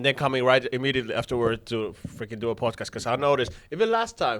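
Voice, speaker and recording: Over a silent background in a very clean recording, a man talks at a very fast pace in a medium pitch. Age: 20s. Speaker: podcast guest. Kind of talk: casual chat.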